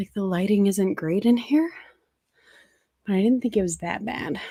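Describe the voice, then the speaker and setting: A woman speaks quietly at a medium pitch, her tone dark and mellow, with ordinary pitch variation. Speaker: anti-MLM content creator. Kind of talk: casual livestream talk. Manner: speaking quietly; halting.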